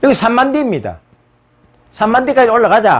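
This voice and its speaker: This man's voice sits at an extremely high pitch. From South Korea, Busan (Gyeongsang). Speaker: history lecturer. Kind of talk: lecture.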